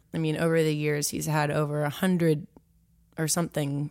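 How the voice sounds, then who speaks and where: Here a woman with an American accent speaks in a monotone, flat way at a very deep, low pitch on a very clean recording with a silent background. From Washington DC area (Potomac, Maryland). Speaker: country singer-songwriter. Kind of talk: interview.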